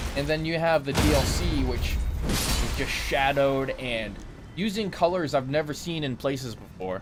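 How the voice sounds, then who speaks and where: Music plays in the background, and the room echo is audible. The tone is animated at a moderate pace. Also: man. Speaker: gaming streamer. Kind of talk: live gameplay stream chat. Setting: live stream from home setup. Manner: stuttering at times; casual, animated.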